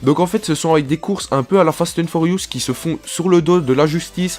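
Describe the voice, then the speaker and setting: With music in the background, a man talks at a moderate pace in a high pitch. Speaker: gaming youtuber. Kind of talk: video commentary. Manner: casual, repetitive filler.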